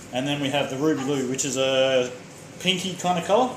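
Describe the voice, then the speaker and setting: Audible room echo and noticeable background noise surround a man with an Australian accent. He speaks at a moderate pace in a fairly high pitch, with ordinary pitch variation. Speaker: home cook streamer. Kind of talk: live cooking stream. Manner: loud.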